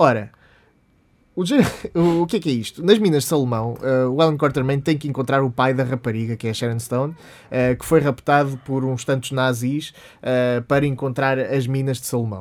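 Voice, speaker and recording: A man with a plain, everyday voice speaks at a medium pitch. His pace is moderate, with ordinary pitch variation. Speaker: podcast co-host. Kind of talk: casual chat.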